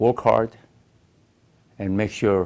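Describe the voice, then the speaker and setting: Speaking very slowly with a Korean accent, a man keeps a fairly low pitch and fairly even intonation. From South Korea. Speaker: Korean-American immigrant. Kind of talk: personal life story interview. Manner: halting.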